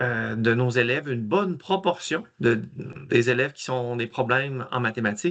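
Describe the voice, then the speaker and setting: A man's bright, sharp voice moves at a moderate pace with lively intonation. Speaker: math education trainer. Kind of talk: webinar presentation.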